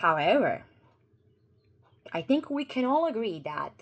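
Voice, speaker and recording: A woman speaks with a Croatian accent. Her pitch makes very wide swings. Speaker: YouTuber. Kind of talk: commentary video. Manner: halting, with fillers and repeats.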